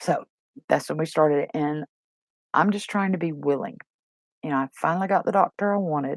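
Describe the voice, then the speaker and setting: A woman speaks with a very deep, low pitch and vocal fry, her intonation lively and her pace fairly quick. The sound is dry and close, with no echo. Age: 60s. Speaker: vlogger. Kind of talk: casual chat. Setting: live stream from home.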